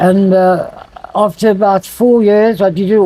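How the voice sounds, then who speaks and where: Over noticeable background noise, a man with a high-pitched voice talks at a moderate pace with fairly even intonation. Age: 70s. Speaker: harmonica player. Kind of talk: interview answer.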